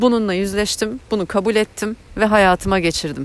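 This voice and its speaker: A woman talks at a moderate pace in a medium-pitched voice. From Turkey, Eskişehir. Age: 30s. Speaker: podcast host and life coach. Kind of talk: personal monologue. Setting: outdoors on morning walks. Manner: halting, many fillers.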